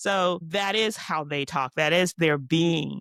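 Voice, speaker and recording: Very deep and low in pitch, a woman with an American accent speaks with vocal fry and ordinary pitch variation, the sound dry and close with no echo on a very clean recording with a silent background. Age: 60s. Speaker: podcast co-host, teacher. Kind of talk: casual chat.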